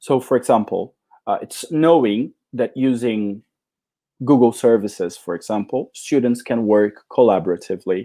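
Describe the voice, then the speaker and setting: A man with a Portuguese accent talks at a moderate pace in a medium pitch, his tone dark and mellow with ordinary pitch variation. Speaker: English teacher trainer. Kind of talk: conference talk.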